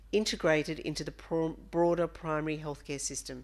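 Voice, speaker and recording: A woman talks with an Australian accent. Her pace is fairly quick. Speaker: director of an online mental health service. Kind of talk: conference presentation.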